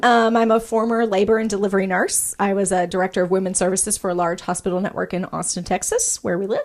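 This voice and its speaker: Someone with a slight Arkansas accent talks at a very fast pace with hardly any pauses and ordinary pitch variation. The recording is very clean, with a silent background. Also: woman. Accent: slight Arkansas country twang. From US South, small-town Arkansas. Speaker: nurse practitioner, podcast co-host. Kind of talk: casual chat. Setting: studio. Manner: talkative.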